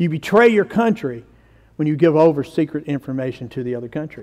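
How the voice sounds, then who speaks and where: Speaking at a fairly quick pace with a Southern US accent, a man with a fairly high pitch and a dark, mellow tone shows ordinary pitch variation over a quiet background. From US South. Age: 50s. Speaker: pastor. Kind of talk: sermon. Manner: animated. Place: church.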